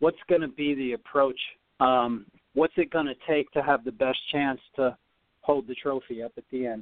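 The speaker has a normal speaking voice and a moderate pace. Intonation stays fairly even. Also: man, medium pitch for a man. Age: 40s. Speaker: former tennis player training for a comeback. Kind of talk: radio interview.

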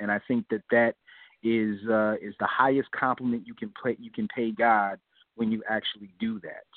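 A man speaks in an ordinary speaking voice at medium pitch and a moderate pace. His intonation is fairly even, with big swings in loudness. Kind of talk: casual chat.

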